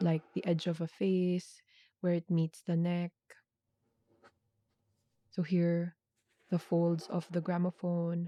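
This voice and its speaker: A soft-spoken woman at a very slow pace, fairly low in pitch, with monotone, flat intonation, long, frequent pauses, very even loudness, a calm tone, and a dark, mellow tone. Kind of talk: ASMR sketching chitchat, soft-spoken narration of drawing process. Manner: soft-spoken, calm.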